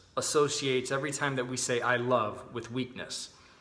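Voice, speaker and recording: A loud voice with a bright, sharp tone and fairly even intonation is heard with audible room echo. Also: man. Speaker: chiropractor. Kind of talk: casual video talk explaining a health idea.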